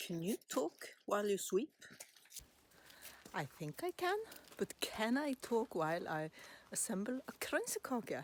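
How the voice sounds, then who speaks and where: With a Norwegian accent, a woman speaks very slowly, her pitch swinging very widely. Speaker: home baker. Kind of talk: casual chat. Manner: halting.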